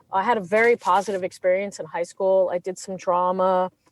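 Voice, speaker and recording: A woman speaks with a Californian accent. Her pitch is medium. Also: dry, close sound with no echo. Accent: California. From England then California. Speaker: criminal defense attorney. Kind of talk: interview. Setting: podcast interview.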